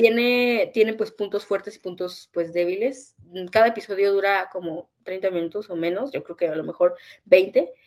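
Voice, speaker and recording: An ordinary speaking voice from a woman, medium in pitch, at a moderate pace with ordinary pitch variation and big swings in loudness. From northern Mexico. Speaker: podcast co-host. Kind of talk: casual chat.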